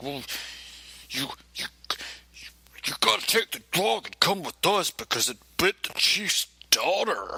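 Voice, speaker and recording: Using a put-on character voice, a man speaks at a high pitch with long, frequent pauses. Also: moderate pace. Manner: overcompensating, tough.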